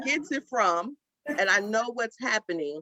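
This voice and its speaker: A woman speaks loudly in an animated, bright, sharp tone with lively intonation, recorded dry and close with no echo. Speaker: panelist mother. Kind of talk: panel discussion.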